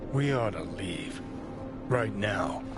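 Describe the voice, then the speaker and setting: Over loud background noise, a man performs in a put-on character voice. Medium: machinima. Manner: abrasive, sneering.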